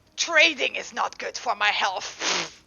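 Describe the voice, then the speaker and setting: This woman puts on a character voice with a high pitch. Her pace is fairly slow. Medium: actual play. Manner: casual, joking, teasing.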